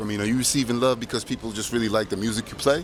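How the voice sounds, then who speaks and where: Noticeable background noise behind a man's very fast speech. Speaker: DJ. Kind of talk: casual vlog. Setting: airport. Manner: loud.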